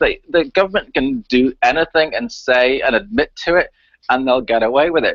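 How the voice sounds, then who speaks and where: His fairly high pitch swings very widely as this man speaks. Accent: Northern Irish. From Northern Ireland, Belfast. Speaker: chemtrails activist and researcher. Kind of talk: interview on live talk radio. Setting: live radio show. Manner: animated.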